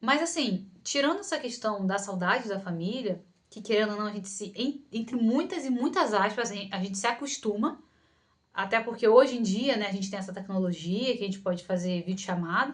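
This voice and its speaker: A woman speaks with a Rio de Janeiro accent at medium pitch and a moderate pace. Her intonation is lively, with big swings in loudness. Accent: carioca. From Rio de Janeiro, Brazil. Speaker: psychologist and video creator. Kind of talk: Q&A vlog, casual talk to camera. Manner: casual, many fillers and restarts.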